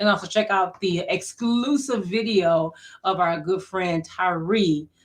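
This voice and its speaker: Her pace fairly slow, a woman talks in a normal speaking voice with ordinary pitch variation. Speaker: radio host. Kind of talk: radio show sign-off.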